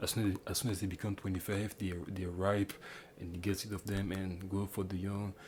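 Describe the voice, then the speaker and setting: A man with a Quebec accent speaks at a fairly quick pace in a somewhat breathy, fairly low voice with monotone, flat intonation. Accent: French Canadian accent in English. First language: French. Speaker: YouTuber commentator. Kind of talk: casual commentary monologue. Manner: halting, many false starts and fillers.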